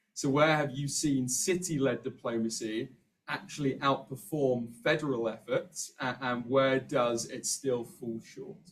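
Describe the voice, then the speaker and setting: A man talks at a fairly slow pace and medium pitch, with ordinary pitch variation. His voice is somewhat breathy. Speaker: Q&A moderator. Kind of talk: moderated Q&A.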